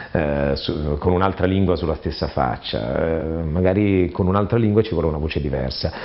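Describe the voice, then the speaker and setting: Lively intonation runs through this man's speech. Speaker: voice actor. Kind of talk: interview answer. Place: home room.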